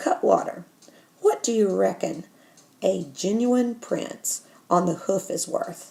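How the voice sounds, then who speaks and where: In a put-on character voice that sounds female, the speaker is raspy at a middle pitch, moving at a fairly slow pace with long, frequent pauses. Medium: read story. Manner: coarse, swaggering.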